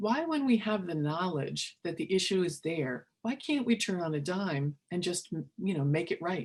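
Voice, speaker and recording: Lively intonation runs through a woman's fairly low, somewhat breathy voice as she speaks at a moderate pace with hardly any pauses. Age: 50s. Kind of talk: webinar presentation. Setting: online webinar.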